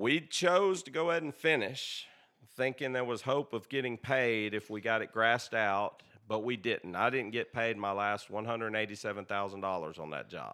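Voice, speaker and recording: On a very clean recording with a silent background, a man with a Southern US accent speaks in a bright, sharp tone with lively intonation. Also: medium pitch for a man, moderate pace. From Tennessee, Tullahoma. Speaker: irrigation company owner. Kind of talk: casual chat. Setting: in his home.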